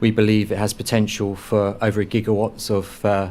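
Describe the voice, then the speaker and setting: His voice sits fairly low for a man. The delivery stays monotone, with flat intonation. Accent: London. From London, England. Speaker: energy company developer. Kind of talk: panel discussion presentation. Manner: halting, many repetitions and fillers.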